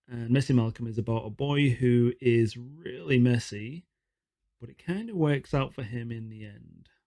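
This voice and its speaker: A man's medium-pitched voice, dark and mellow in tone, at a moderate pace with ordinary pitch variation and big swings in loudness. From England. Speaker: children's book reader. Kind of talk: casual chat to children. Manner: playful, animated.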